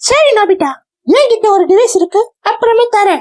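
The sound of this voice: Squeaky and extremely high in pitch, this cartoonish character voice proceeds at a moderate pace.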